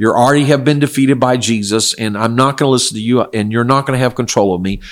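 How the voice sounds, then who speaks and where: Talking at a very fast pace with hardly any pauses, a man with an American accent keeps a medium pitch and fairly even intonation. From South Korea (missionary family, American). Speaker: pastor and Bible teacher. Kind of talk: religious Q&A interview. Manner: measured, with fillers.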